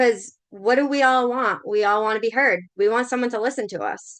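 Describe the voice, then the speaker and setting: A woman with a Massachusetts accent, ordinary pitch variation, and a moderate pace against a quiet background. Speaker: spiritual coach and shamanic practitioner. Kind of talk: livestream talk to viewers. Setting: Facebook live stream. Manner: casual, conversational with fillers.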